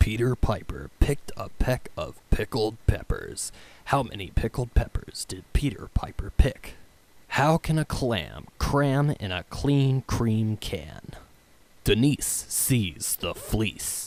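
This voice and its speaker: A man whispers at a very slow pace. His loudness swings widely. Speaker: voice actor. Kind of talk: tongue twister reading. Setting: studio.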